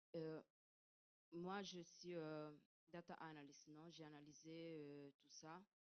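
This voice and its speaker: A woman speaks with an Italian accent at a very slow pace, her pitch very deep and low. Her intonation is monotone and flat, with long, frequent pauses. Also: big swings in loudness. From Italy. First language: Italian (speaking French). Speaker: audience member asking a question. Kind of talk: audience question at conference. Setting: conference room. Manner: halting, searching for words.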